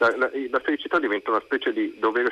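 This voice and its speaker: A man talks at a very fast pace, with noticeable background noise behind him. The sound is dry and close, with no echo. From Italian provinces, not Milan. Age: 50s. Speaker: writer. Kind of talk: radio interview. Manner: halting, many repetitions.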